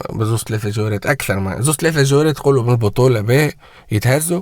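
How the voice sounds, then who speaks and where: A man's voice sits at a medium pitch. The background is silent and the recording very clean. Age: 20s. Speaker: football commentator YouTuber. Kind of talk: casual vlog rant. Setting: home, early morning. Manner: animated; loud.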